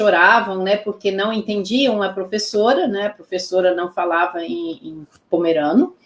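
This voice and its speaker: Her pitch varying in an ordinary way, a woman talks at a fairly slow pace. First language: Pomeranian (speaking Portuguese). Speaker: Pomeranian language teacher. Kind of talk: interview. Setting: live stream.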